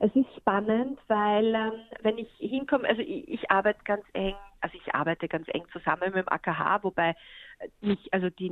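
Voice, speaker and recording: A woman's medium-pitched voice shows ordinary pitch variation and a moderate pace. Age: 40s. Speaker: photographer. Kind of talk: interview.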